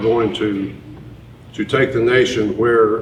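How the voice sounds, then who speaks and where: Amid noticeable background noise and audible room echo, a man with a Tennessee accent speaks with a fairly low pitch and fairly even intonation. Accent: Southern US (Tennessee). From East Tennessee, US South. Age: 60s. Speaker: presidential candidate. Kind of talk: town hall interview. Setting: hotel event with audience.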